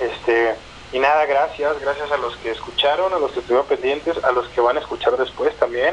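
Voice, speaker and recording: The speaker is a man talking at a fairly quick pace. Noticeable background noise can be heard. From northern Mexico (Chihuahua). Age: 30s. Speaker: musician. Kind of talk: casual interview. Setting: phone call.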